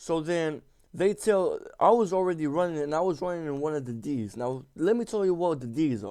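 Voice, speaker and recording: With lively intonation and a dark, mellow tone, a man speaks at a fairly high pitch and a moderate pace. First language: not English. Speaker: gaming YouTuber. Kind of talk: casual storytelling over gameplay. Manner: halting, many fillers and repeats; slangy, informal.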